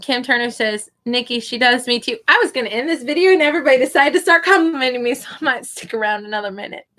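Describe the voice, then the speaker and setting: A woman speaks at a very fast pace with hardly any pauses, her voice raised and projected. Her high voice is bright and sharp, with lively intonation. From US Midwest, Kansas City. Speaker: online English tutor and live streamer. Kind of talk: casual live stream chat reading comments. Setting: live stream at computer.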